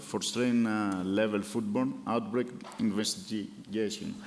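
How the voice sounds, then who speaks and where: Fairly low pitch from a man, audible room echo, and a fairly slow pace. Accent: non-native. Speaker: session chair. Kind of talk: conference moderation. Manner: hesitant, many fillers.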